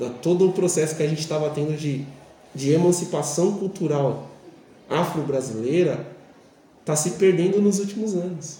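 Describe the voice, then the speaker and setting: A man's fairly high voice at a moderate pace, with ordinary pitch variation, long, frequent pauses and audible room echo. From Brazil, São Paulo periphery. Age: 40s. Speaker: physical education teacher. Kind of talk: interview.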